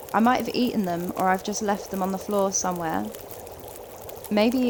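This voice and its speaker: A woman's medium-pitched voice in a Kent accent over noticeable background noise. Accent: southern English, sounds like Kent. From southeast England. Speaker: gaming streamer. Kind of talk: live gameplay commentary. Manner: casual, chatty.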